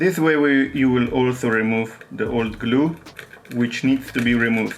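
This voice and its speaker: Over noticeable background noise, a man with a non-native accent talks at a moderate pace, with medium pitch, ordinary pitch variation and very even loudness. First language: not English. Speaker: phone repair technician. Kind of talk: tutorial. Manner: halting.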